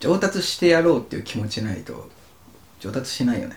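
A man with a high pitch talks at a fairly quick pace, his voice swinging very widely in pitch over noticeable background noise. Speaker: podcast co-host, office worker. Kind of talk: casual chat.

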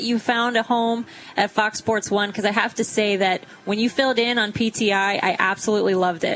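A woman's fairly high-pitched voice at a fairly quick pace, with noticeable background noise. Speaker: radio host. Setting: live remote event with audience.

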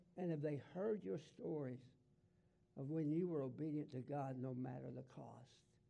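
A man talks at a moderate pace in a Southern US accent. His voice sits fairly high, with ordinary pitch movement. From US South. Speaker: pastor. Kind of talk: sermon. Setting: church.

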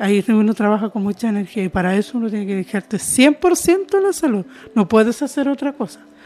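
A woman talks at a fairly quick pace with lively intonation. Her pitch is fairly high and her tone dark and mellow. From southern Chile, Mapuche rural community. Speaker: intercultural educator. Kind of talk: interview testimony.

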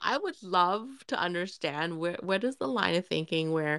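Recorded dry and close with no echo against a silent background, a woman speaks in an ordinary speaking voice on a very clean recording. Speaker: podcast co-host. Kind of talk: casual chat.

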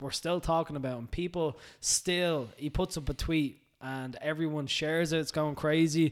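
Recorded very cleanly against a silent background, a man with an Irish accent talks at a moderate pace in a fairly high pitch with fairly even intonation. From Ireland. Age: 20s. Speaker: personal trainer. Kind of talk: casual chat. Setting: studio.

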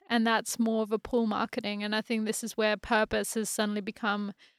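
In an Australian accent, a woman with a fairly high pitch speaks at a moderate pace in a monotone, flat intonation, recorded very cleanly against a silent background with a dry, close sound and no echo. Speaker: photographer and chief creative officer. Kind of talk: casual chat.

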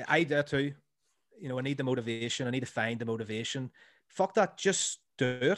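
This is a man speaking. He has a Northern Irish accent. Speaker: comedy podcaster and school teacher. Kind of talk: casual chat. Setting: remote call.

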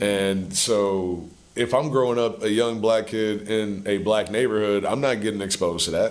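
Speaking at a moderate pace with hardly any pauses, a man keeps a fairly low pitch, fairly even intonation and very even loudness. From US South. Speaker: musician. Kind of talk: casual chat.

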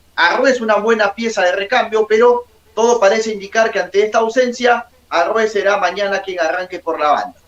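Noticeable background noise behind a man with a high pitch at a fairly quick pace. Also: fairly even intonation. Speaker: sports journalist. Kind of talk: interview.

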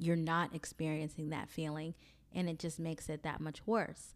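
In a very clean recording with a silent background, a woman with an American accent speaks at a very deep, low pitch. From US South, Mobile, Alabama. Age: 30s. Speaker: podcast host. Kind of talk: solo monologue.

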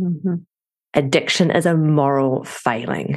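A woman with a very deep, low voice speaks at a very slow pace with ordinary pitch variation. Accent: New Zealand. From New Zealand. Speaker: addiction family coach, wife of person in recovery. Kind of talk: podcast interview.

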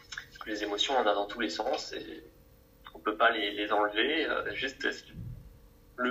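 A man speaking at a moderate pace amid noticeable background noise. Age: 20s. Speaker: coach and therapist. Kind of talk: interview. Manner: relaxed.

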